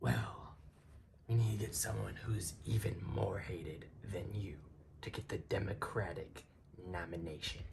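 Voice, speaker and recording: Putting on a raspy character voice, a man speaks at a moderate pace with a very deep, low pitch, lively intonation and long, frequent pauses. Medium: audio drama. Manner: cocky, joking.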